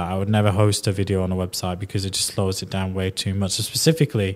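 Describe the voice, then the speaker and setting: The speech is in a strong Yorkshire accent, delivered at a very fast pace. Its intonation is monotone and flat, on a very clean recording with a silent background. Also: man. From northern England (Yorkshire). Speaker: podcast host. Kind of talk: casual interview chat.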